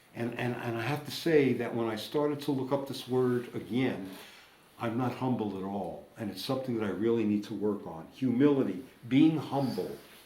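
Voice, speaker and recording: There is audible room echo as a man speaks at a moderate pace with an American accent. His medium pitch shows ordinary variation. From United States. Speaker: recovering alcoholic sharing at a meeting. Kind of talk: recovery meeting share. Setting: meeting room with audience. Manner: loud.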